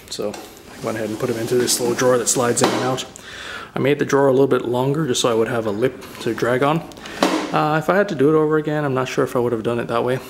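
A man speaks at a very fast pace with ordinary pitch variation. Noticeable background noise runs underneath. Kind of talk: casual project walkthrough. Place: garage. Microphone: phone near.

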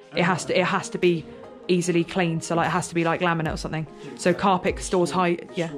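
Over clear music in the background, a woman with a fairly low pitch speaks at a very fast pace. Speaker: urban explorer vlogger. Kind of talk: casual vlog chat. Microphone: phone near.

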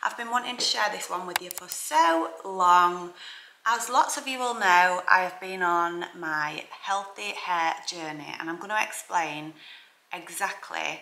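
A woman's voice sits fairly low in pitch, with a bright, sharp tone. She goes at a fairly slow pace, and room echo is audible.

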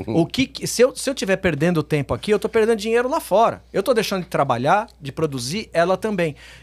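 Against a quiet background, a man speaks very fast in a high pitch with very wide pitch swings and hardly any pauses. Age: 50s. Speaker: businessman and reality show contestant; podcast guest. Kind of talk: casual chat. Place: studio. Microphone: studio mic.

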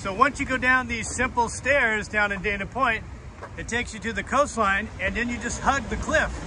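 Over noticeable background noise, a man talks at a moderate pace with a dry sound and no echo. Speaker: hiking vlogger. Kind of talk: casual vlog chat. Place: beach. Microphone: phone near.

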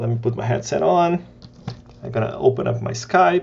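This voice has vocal fry, a slightly mellow tone, ordinary pitch variation and a moderate pace. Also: man, fairly high pitch for a man.

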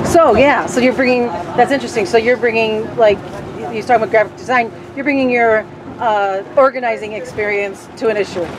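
Through noticeable background noise, a woman with a fairly high pitch speaks at a fairly quick pace with ordinary pitch variation. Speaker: bus trip organizer interviewing riders. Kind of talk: casual interviews. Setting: on a bus. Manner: animated. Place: bus. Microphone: phone near.

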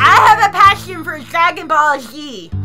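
The speaker puts on a character voice. Clear music plays in the background. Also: moderate pace. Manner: nerdy, geeky.

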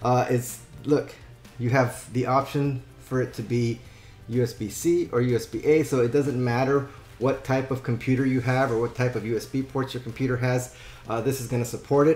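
A man's monotone, flat delivery at a moderate pace, with audible room echo and faint music in the background. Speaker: product reviewer. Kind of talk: product review tutorial. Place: home room.

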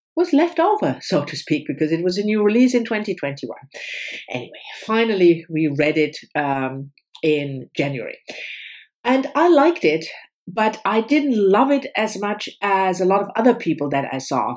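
A female speaker talks at a moderate pace, her pitch swinging very widely, with quiet in the background. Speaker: book vlogger. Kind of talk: casual vlog chat. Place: home room. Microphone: webcam.

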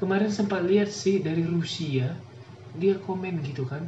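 A man speaks very slowly in a high voice with lively intonation, with audible room echo and light background noise. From Indonesia. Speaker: YouTube reaction channel host. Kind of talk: reaction video commentary. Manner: animated. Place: home room.

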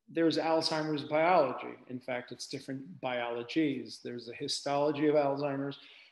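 A man at a moderate pace with hardly any pauses, fairly even intonation and audible room echo. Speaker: medical researcher giving lecture. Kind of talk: lecture. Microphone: webcam.

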